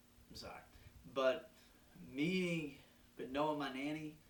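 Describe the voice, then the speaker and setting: With audible room echo, a man speaks at a moderate pace in a bright, sharp tone with ordinary pitch variation. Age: 20s. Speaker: podcast host. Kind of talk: personal reflection monologue. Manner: halting.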